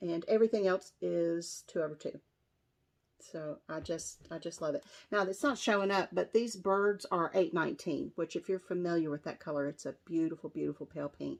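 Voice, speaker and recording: Fairly low in pitch, a woman speaks with an American accent in a normal speaking voice, her pitch varying in an ordinary way. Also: moderate pace, very clean recording, silent background. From West Virginia. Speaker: cross-stitch vlogger. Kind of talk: casual show-and-tell vlog.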